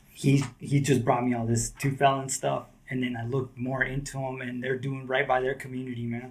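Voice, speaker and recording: A man speaks in a medium pitch with an American accent, somewhat breathy and with monotone, flat intonation. His pace is fairly quick, with hardly any pauses. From Southern California. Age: 40s. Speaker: skateboarder. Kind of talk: casual chat.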